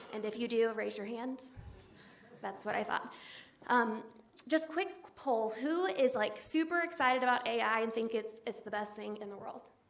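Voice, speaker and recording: A woman with an American accent speaks at a moderate pace with long, frequent pauses, amid audible room echo and noticeable background noise. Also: fairly high pitch for a woman, ordinary pitch variation. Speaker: assistant city administrator. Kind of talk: conference presentation.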